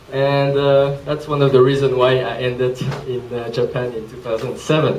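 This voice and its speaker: A man talks at a moderate pace, his pitch fairly high. Room echo is audible, and background noise is noticeable. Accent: French. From Switzerland, near Geneva (French-speaking). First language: French. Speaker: presenter, social entrepreneur. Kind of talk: presentation talk. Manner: hesitant, many fillers.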